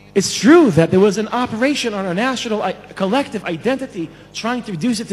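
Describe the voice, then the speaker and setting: Lively in intonation and fairly quick, a man speaks over noticeable background noise. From Israel. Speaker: scholar and lecturer. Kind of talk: conference speech. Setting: stage with audience.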